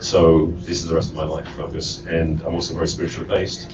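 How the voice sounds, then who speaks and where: Over noticeable background noise and audible room echo, a man with an English accent speaks at a very fast pace. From England. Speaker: relationship coach. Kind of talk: panel self-introduction.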